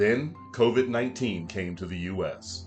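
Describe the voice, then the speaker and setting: Music plays in the background as a man speaks. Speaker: voice-over artist. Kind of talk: award video narration.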